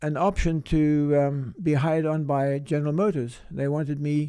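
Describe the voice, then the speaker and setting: At a moderate pace, a man speaks in a dark, mellow tone with a fairly high pitch. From South Africa, Cape Town. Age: 70s. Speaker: chiropractor. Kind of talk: interview. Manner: halting.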